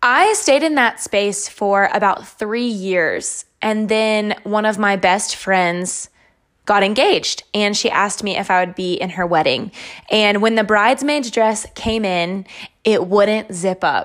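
At a fairly slow pace and with ordinary pitch variation, this is an unremarkable speaking voice. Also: woman, medium pitch for a woman. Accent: American. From US South, North Carolina. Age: 20s. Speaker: fitness podcaster. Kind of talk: solo podcast monologue.

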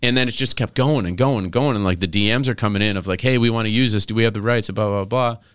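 With an American accent and a bright, sharp tone, a man speaks on a very clean recording with a silent background. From western New York. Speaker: basketball team analyst and reporter. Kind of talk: casual interview chat. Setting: studio.

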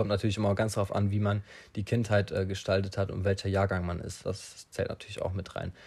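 A man with a fairly low pitch speaks at a fairly quick pace in a somewhat breathy, monotone voice with flat intonation. The recording is very clean with a silent background. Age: young. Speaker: podcaster. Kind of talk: solo monologue. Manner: halting, many fillers.

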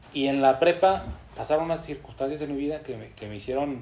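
A man's fairly high voice with a dark, mellow tone, ordinary pitch variation and a moderate pace. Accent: Mexican. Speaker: podcast host. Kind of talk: casual chat.

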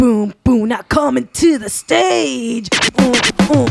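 This is a put-on character voice with a fairly high pitch and very wide pitch swings. It moves at a fairly slow pace.

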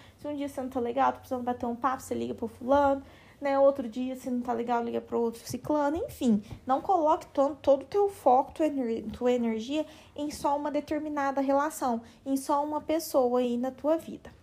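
A woman with a high pitch and a dark, mellow tone at a fairly quick pace with fairly even intonation. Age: 20s. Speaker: psychologist and podcast host. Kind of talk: casual therapeutic talk.

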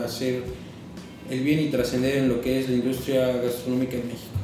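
A man with a Mexican accent speaks at a medium pitch and a fairly quick pace. Noticeable background noise and audible room echo fill the recording. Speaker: chef's assistant. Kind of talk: casual chat.

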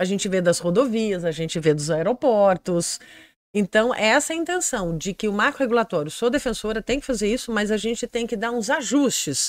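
At a moderate pace, a woman with a fairly high voice swings her pitch very widely, the sound dry and close with no echo. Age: 50s. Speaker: political candidate. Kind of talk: interview. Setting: studio.

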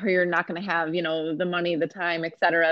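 With an American accent, a woman speaks very fast in a fairly low pitch and a monotone, flat intonation. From US, Rochester, New York. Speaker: mental health counselor and food business owner. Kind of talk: casual interview.

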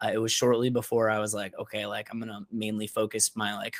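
A man with an American accent speaks at a fairly quick pace in a fairly low, monotone, flat voice. The recording is very clean with a silent background, and the sound is dry and close with no echo. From Upstate New York (Syracuse). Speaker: freelance photographer and content creator. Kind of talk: interview, casual conversation.

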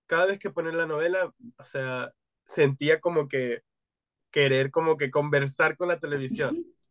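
With fairly even intonation, a man talks at a moderate pace. The sound is dry and close, with no echo. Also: fairly high pitch for a man. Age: 20s. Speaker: podcast co-host. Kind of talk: casual chat. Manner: code-switching Spanish and English.

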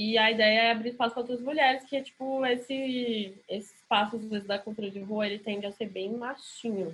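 A normal speaking voice moves at a fairly quick pace. Its pitch varies in an ordinary way. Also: woman. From Brasília, Brazil. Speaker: DJ. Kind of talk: casual chat.

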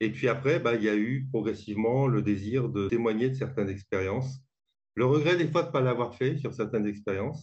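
Somewhat breathy and at medium pitch, a man talks at a fairly quick pace with ordinary pitch variation. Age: 60s. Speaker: author. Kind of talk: interview. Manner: halting.

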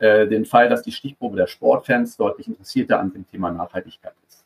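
The sound is close and dry, with no echo. A man moves along at a fairly quick pace. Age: 40s. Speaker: sports marketing research executive. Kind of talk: interview. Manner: hesitant, many filler sounds.

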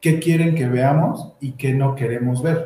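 A man with a central Mexican accent, fairly even intonation and a fairly slow pace. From Ixtapan de la Sal, State of Mexico. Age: 20s. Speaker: architect. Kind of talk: panel talk presenting architecture practice. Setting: video stream, sharing one camera with partners.

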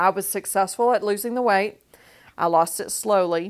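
The recording is very clean, with a silent background. A woman talks at a moderate pace with ordinary pitch variation. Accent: Texan. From West Texas, small town. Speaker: podcast host. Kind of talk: personal storytelling monologue.

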